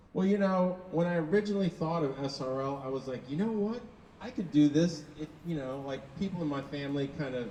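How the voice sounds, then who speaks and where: Noticeable background noise and audible room echo surround this man's voice. He talks at a fairly quick pace with lively intonation. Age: 60s. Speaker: founder of a machine performance art group. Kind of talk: casual chat.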